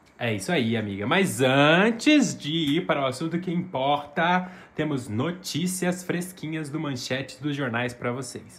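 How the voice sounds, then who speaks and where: A man with a fairly high pitch speaks fairly slowly but with hardly any pauses, his tone animated and his intonation lively, in audible room echo. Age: 20s. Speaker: podcast co-host. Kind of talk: casual chat.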